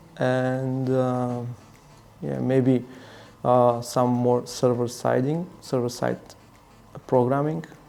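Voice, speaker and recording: A man's medium-pitched voice comes through with music in the background. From Bulgaria. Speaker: security consultant and bug bounty hacker. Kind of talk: interview answers. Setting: live hacking event. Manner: halting, with fillers and restarts.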